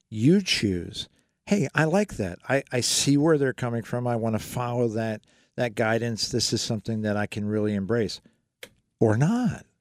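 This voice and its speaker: The sound is dry and close, without any echo. An unremarkable speaking voice goes at a moderate pace, its pitch shifting in an ordinary way. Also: man, medium pitch for a man. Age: 60s. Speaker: financial radio show host. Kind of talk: call-in radio advice show.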